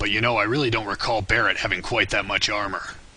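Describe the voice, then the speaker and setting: A man's raspy, put-on character voice at medium pitch, deadpan in tone and very fast, with fairly even intonation, very even loudness and light background noise. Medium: cartoon. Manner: deadpan, sarcastic.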